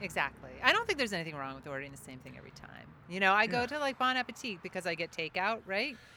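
Amid noticeable background noise, a medium-pitched woman speaks very fast, with very wide pitch swings and big swings in loudness. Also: hardly any pauses. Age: 50s. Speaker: chef and bakery owner. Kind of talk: casual chat. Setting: outdoors on a patio.

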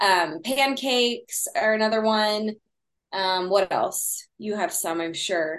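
Very slow in pace, a woman with a Texan accent speaks at a fairly high pitch with lively intonation. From Texas. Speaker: sourdough baker guest. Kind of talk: casual interview chat.

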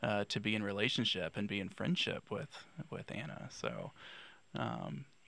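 Speaking at a fairly slow pace, a man with an American accent shows vocal fry. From North Carolina, Raleigh. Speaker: divinity graduate and counseling student. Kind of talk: casual conversation.

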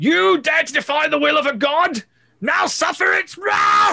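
Shouting in a put-on character voice, the speaker keeps a moderate pace. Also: man. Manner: commanding, wrathful.

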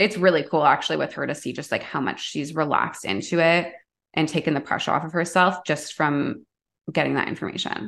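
A woman with a Canadian accent talks fairly quickly in a very deep, low voice with vocal fry and ordinary pitch variation. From Canada, Toronto. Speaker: intuitive guide and energy healer. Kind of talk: casual chat.

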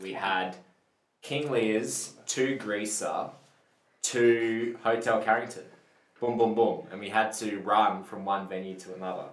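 A man speaks at a fairly slow pace with ordinary pitch variation, big swings in loudness, and audible room echo. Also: medium pitch for a man. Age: 30s. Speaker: band member. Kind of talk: casual chat.

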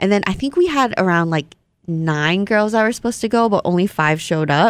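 A woman with a Vietnamese accent talks at a fairly quick pace, her pitch varying in an ordinary way. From Hawaii. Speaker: Instagram model. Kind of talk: casual chat. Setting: studio.

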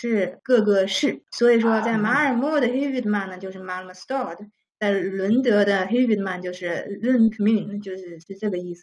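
A woman's medium-pitched voice at a very fast pace, with big swings in loudness. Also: ordinary pitch variation, hardly any pauses. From China. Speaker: school teacher. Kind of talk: interview answers.

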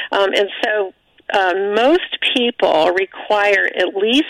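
There's noticeable background noise on the recording. Through it, a woman talks. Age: 60s. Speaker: physician and former surgeon. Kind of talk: radio interview.

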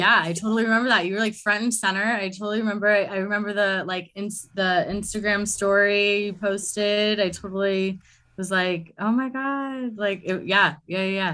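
At a moderate pace, a woman with an American accent speaks at a medium pitch in a bright, sharp tone with fairly even intonation, in a very clean recording with a silent background. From US West Coast (Los Angeles). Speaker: astrologer and coach. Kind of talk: casual interview chat.

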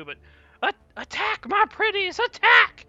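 In a put-on character voice, someone shouts at an extremely high pitch and a very slow pace. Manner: screaming.

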